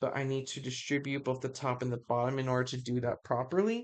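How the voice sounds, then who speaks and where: Pitched very deep and low, the woman's voice moves with ordinary pitch variation. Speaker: math tutor. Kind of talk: tutorial. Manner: halting.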